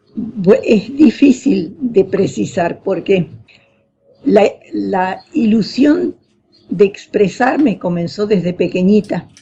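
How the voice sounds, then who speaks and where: A woman's somewhat breathy, medium-pitched voice at a very slow pace, with very wide pitch swings. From northern Argentina (Formosa). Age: 80s+. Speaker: poet. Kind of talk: radio interview. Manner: halting.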